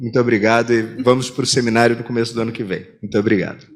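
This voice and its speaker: A man with a Rio de Janeiro accent. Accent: carioca (Rio de Janeiro). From Rio de Janeiro, Brazil. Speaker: competition lawyer, seminar presenter. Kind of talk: conference presentation.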